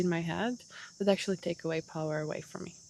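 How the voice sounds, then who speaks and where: A woman with a non-native accent on a very clean recording with a silent background. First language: not English. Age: 30s. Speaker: podcast host. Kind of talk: solo podcast monologue. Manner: casual, animated.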